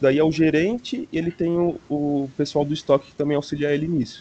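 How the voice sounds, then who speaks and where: A man with a dark, mellow tone and a fairly high pitch for a man speaks at a fairly quick pace with fairly even intonation. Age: 20s. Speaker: university student. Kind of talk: casual chat.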